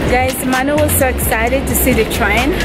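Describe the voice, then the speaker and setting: Music plays in the background as a woman speaks. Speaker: travel vlogger. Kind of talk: casual vlog chat. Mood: cheerful, excited. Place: waterside. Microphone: phone near.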